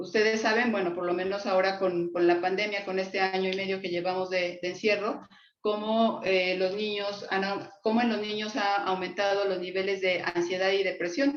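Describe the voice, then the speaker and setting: Here a woman talks at a moderate pace with hardly any pauses. Her pitch is medium and her intonation fairly even. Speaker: psychologist lecturer. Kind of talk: lecture. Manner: halting, many fillers.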